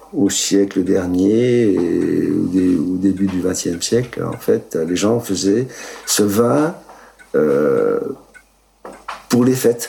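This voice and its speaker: A man with a fairly low pitch and ordinary pitch variation speaks at a very slow pace. He takes long, frequent pauses, and there is noticeable background noise. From Italy, raised in Moselle. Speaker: winemaker. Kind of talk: interview. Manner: hesitant, many fillers.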